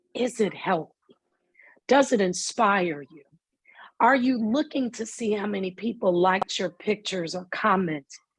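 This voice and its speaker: The voice sounds animated and somewhat breathy, with lively intonation. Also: woman, medium pitch for a woman. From US South. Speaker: mental health speaker. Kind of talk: lecture. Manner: slow.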